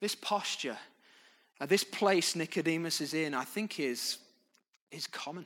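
In a very clean recording with a silent background, a man with a British accent speaks at a fairly slow pace and fairly high pitch, with ordinary pitch variation and long, frequent pauses. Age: 30s. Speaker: pastor. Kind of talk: sermon.

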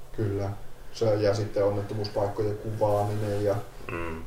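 A man with a fairly low pitch speaks in a flat monotone. Audible room echo and noticeable background noise surround him. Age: 30s. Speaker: paramedic. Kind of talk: casual chat.

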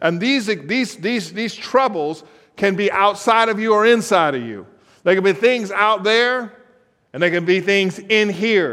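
A man speaks at a high pitch with a bright, sharp tone and ordinary pitch variation. His fairly slow delivery carries audible room echo. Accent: American. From California. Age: 50s. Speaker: guest preacher. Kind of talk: sermon.

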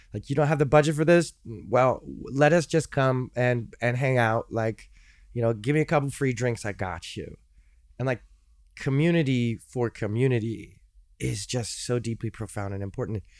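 A plain, everyday voice with an American accent, ordinary pitch variation and a moderate pace, in a very clean recording with a silent background. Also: man, medium pitch for a man. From US Midwest, Chicago. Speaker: singer-songwriter and music educator. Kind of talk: casual interview chat. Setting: studio.

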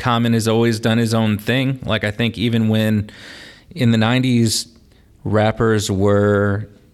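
A man's fairly low voice in a Midwestern US accent, monotone and flat, at a fairly slow pace. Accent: US Midwest. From northern Indiana (LaPorte), US Midwest. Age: 30s. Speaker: teacher and rapper. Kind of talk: casual chat.

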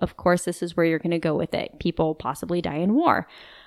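A woman's plain, everyday voice, fairly low in pitch at a moderate pace, in a very clean recording with a silent background and a dry, close sound with no echo. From US West, Idaho (moved around). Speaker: military widow. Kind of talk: interview, personal testimony. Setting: in-person recording.

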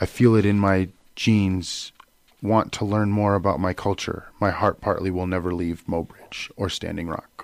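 A man speaks at a moderate pace in an ordinary speaking voice, his fairly low pitch carried on fairly even intonation. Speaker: radio DJ and guest. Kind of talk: radio interview. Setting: radio studio.

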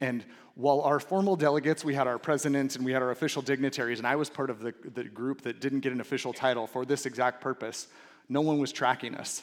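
Very fast and with a Californian accent, a man talks at a medium pitch with fairly even intonation. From Southern California. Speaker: pastor. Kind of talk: sermon.

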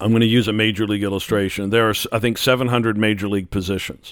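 Over a silent background on a very clean recording, a man in an ordinary speaking voice talks at medium pitch with fairly even intonation. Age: 60s. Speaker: pastor and theology teacher. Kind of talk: casual chat.

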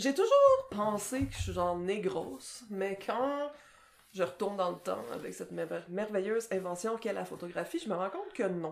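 Speaking fairly slowly in a Quebec accent, a woman of medium pitch uses lively intonation. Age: 30s. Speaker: podcast co-host, translator. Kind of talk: casual chat.

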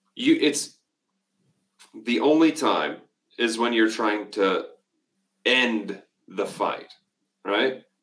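A man with a medium-pitched voice talks at a very slow pace with ordinary pitch variation, leaving long, frequent pauses. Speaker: podcast co-host.

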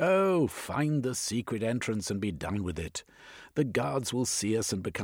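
Lively intonation marks this natural reading voice.

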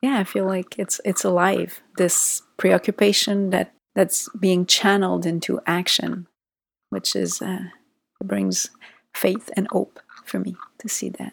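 Speaking at a fairly slow pace with a Quebec accent, a woman comes across in a dry, close sound with no echo. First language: French. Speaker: psychologist. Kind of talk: interview conversation.

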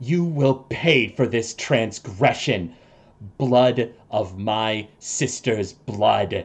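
Very slowly, a man speaks in a put-on character voice. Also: medium pitch for a man. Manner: hissing, pained, menacing.

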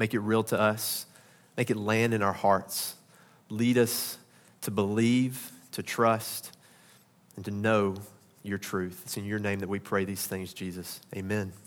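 In a very clean recording with a silent background, a man with a Southern US accent speaks in a fairly low, monotone, flat voice at a fairly slow pace, with long, frequent pauses. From Arkansas. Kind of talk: sermon. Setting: church.

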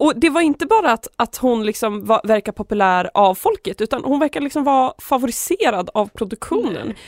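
A woman talks at a fairly quick pace and a high pitch, with very even loudness. The sound is dry and close, with no echo. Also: lively intonation, hardly any pauses. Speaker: student radio host. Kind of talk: casual chat. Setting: studio.

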